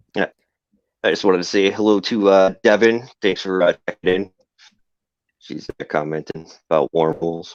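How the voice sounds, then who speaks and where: With music in the background, a man with an American accent speaks at a moderate pace and fairly low pitch, his intonation fairly even, with long, frequent pauses and a dry, close sound with no echo. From Massachusetts. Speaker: podcast host. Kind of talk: casual chat. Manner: halting, many filler uhs.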